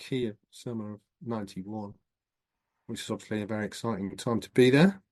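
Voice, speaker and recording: A man with a Northern English accent talks at a fairly quick pace. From northern England, Scottish borders. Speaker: professor. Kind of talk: interview.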